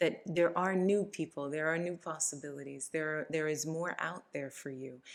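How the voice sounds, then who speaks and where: At a moderate pace, a woman talks with fairly low pitch and fairly even intonation. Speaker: tarot and astrology reader. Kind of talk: tarot reading monologue. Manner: halting.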